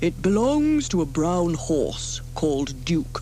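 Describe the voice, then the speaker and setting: A woman's put-on character voice, fairly low in pitch and fairly slow, with clear background noise. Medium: read story.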